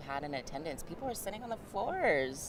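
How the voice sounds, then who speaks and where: A woman speaks at a very fast pace amid audible room echo. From Alaska North Slope, Utqiagvik. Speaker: communications staff at a Native organization. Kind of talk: live event interview. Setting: conference hall live stream.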